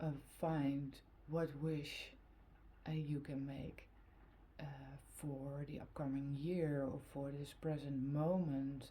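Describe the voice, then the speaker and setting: A woman with a Dutch accent speaks at a very slow pace, with a very deep, low pitch and monotone, flat intonation. Long, frequent pauses break up her speech, and audible room echo fills the space. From Netherlands. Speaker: tarot card reader. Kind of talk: tarot reading. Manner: halting, many fillers.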